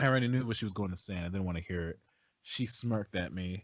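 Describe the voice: The pitch moves in an ordinary way during this plain reading aloud.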